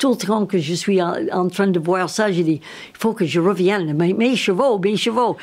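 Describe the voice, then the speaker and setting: A woman speaks at a very slow pace, her medium pitch rising and falling in an ordinary way. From United States. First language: English (speaking French). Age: 80s+. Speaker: riding coach. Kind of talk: interview.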